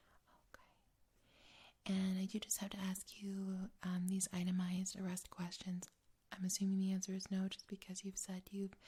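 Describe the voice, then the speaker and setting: Soft-spoken and somewhat breathy, a woman talks at a medium pitch and a moderate pace. Her tone is dark, mellow, and gentle. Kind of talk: ASMR roleplay, psychological evaluation interview. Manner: soft-spoken, gentle.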